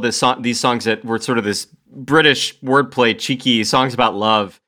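A man speaks in a normal speaking voice at a medium pitch and moderate pace. The recording is very clean, with a silent background. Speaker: band member, musician. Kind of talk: casual podcast chat.

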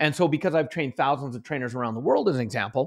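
A man is heard on a very clean recording with a silent background. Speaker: author and motivational trainer. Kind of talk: interview. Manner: high energy.

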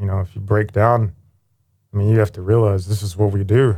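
With an American accent, a man talks at a fairly quick pace in a fairly low, dark, mellow voice that is somewhat breathy. His intonation is monotone and flat. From Youngstown, Ohio. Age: 50s. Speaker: firefighter paramedic. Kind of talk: interview.

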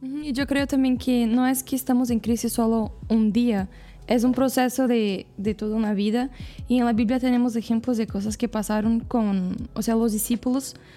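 In a Portuguese accent, a woman talks at a moderate pace with a fairly high pitch. Her tone is dark and mellow, her loudness very even and her intonation fairly even. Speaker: missionary. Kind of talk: casual chat.

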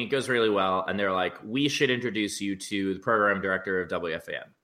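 A man's voice comes across bright and sharp in tone. There is a very clean recording and a silent background. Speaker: comedian. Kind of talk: casual chat.

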